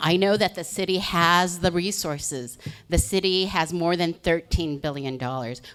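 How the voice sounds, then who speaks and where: A woman's normal speaking voice, fairly low in pitch, with ordinary pitch variation and a moderate pace. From Los Angeles, Koreatown area. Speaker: political candidate. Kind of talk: candidate opening statement.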